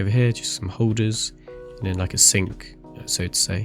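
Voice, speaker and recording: Music in the background behind a man's fairly low-pitched voice with ordinary pitch variation. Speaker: gaming video creator. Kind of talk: game review walkthrough narration.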